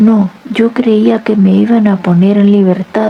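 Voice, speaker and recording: A woman uses a put-on character voice at a fairly slow pace. Her loudness stays very even and her intonation flat and monotone. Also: medium pitch for a woman. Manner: halting, faltering.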